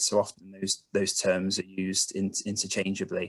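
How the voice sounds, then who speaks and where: This man talks at a moderate pace with a slight Bristol accent. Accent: Bristolian, slight. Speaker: carbon emissions consultant. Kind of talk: online presentation. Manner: hesitant, many fillers.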